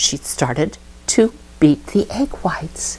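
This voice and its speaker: A woman with a fairly low pitch talks while noticeable background noise plays behind her. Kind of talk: personal memory storytelling.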